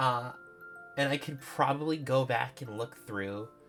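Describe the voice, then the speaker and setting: A man talks at a moderate pace with medium pitch and ordinary pitch variation. Music plays in the background. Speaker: streamer and sprite artist. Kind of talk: casual livestream commentary. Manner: casual, many filler words.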